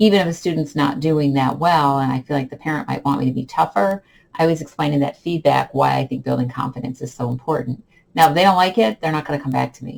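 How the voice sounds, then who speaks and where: A woman with a very deep, low pitch and vocal fry speaks at a very fast pace. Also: ordinary pitch variation. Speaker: online English teacher. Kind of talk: vlog tips talk. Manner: calm.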